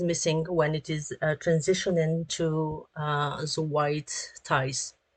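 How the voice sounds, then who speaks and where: A woman with a French accent speaks at a very slow pace. Her pitch is fairly low and the background is quiet. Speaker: 3D artist and animator. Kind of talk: tutorial. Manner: halting, many fillers.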